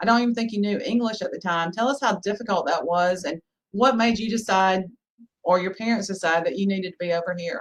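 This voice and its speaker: Talking at a very fast pace, a woman with a Southern US accent holds a medium pitch with ordinary variation. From US South. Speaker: podcast host, lawyer. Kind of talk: interview podcast.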